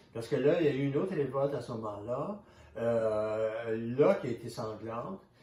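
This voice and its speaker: The speech moves at a moderate pace with ordinary pitch variation. Background noise is noticeable. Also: man. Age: 70s. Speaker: author and historian. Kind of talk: interview. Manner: halting, with many repetitions.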